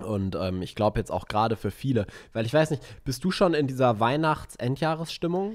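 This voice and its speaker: This man's pitch swings very widely. He keeps up a fairly quick pace. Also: medium pitch for a man. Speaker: podcast co-host, business mentor. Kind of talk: casual chat. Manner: hesitant with many fillers.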